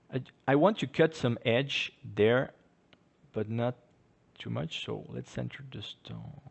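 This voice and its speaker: A man with vocal fry at a fairly slow pace. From French-speaking Switzerland. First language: French. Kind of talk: tutorial. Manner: casual, playful.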